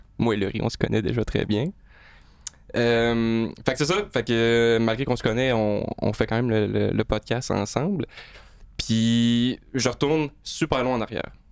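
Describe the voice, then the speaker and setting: The speaker has a Quebec accent and a fairly slow pace. Intonation stays fairly even. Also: man, medium pitch for a man, very even loudness. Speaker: podcast host and tattoo artist. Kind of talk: casual interview chat.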